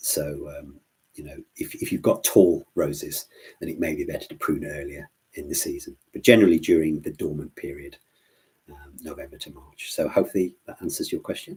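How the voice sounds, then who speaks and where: With an English Midlands accent, a man talks at a fairly quick pace, his loudness swinging widely. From English Midlands (Worcestershire). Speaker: plant doctor, gardening expert. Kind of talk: live Q&A stream. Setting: live online stream. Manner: hesitant, many fillers and repetitions.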